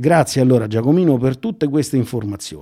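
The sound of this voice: A man speaks at a moderate pace with big swings in pitch. His tone is dark and mellow.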